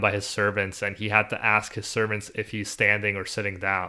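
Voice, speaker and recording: Over a very clean recording with a silent background, a man speaks at a fairly low pitch in a bright, sharp tone. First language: not English (refugee, English second language). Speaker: podcast co-host. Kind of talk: casual chat.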